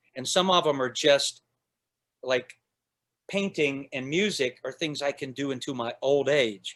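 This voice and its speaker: An ordinary speaking voice from a man, fairly high in pitch with ordinary pitch variation. He speaks at a moderate pace on a very clean recording with a silent background. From US South, born in Northern Ireland. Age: 60s. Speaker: outdoorsman and artist. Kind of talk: casual chat.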